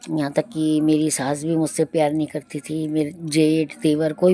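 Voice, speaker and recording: Noticeable background noise runs behind the speaker. She is a woman with a very deep, low pitch. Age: 60s. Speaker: devotional satsang narrator. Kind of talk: devotional testimony. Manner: conversational.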